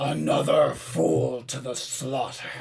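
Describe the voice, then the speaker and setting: Putting on a character voice, a man speaks fairly slowly in a booming, raspy tone over light background noise. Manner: menacing, mocking.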